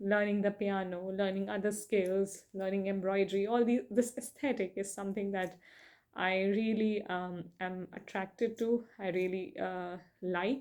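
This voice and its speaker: A woman with a non-native accent talks at a fairly slow pace with fairly even intonation on a very clean recording with a silent background. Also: medium pitch for a woman. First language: not English. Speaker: book reviewer. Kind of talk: casual monologue. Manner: hesitant, many fillers.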